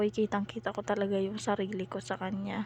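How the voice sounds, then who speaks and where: Soft-spoken and somewhat breathy, a woman talks at a fairly quick pace with a medium pitch. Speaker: vlogger, mother. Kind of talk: voice-over narration. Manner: casual.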